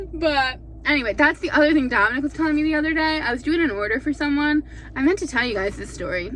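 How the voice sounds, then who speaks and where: A woman talks at a very fast pace in a high pitch. Her intonation is lively, and background noise is noticeable. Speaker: vlogger. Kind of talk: casual chat. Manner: animated.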